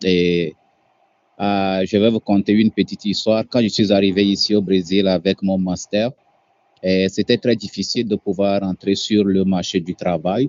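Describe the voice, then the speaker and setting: Speaking at a fairly slow pace, a man keeps a fairly low pitch in a monotone, flat intonation. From Togo. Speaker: guest speaker on working abroad. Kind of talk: webinar presentation. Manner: hesitant, frequent 'euh' fillers.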